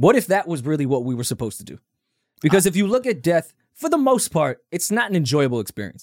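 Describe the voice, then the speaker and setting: A man talks very fast with an American accent and a high pitch. His pitch swings very widely, his loudness shifts a lot, and the sound is dry and close with no echo. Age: 30s. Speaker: podcast co-host. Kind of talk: casual chat.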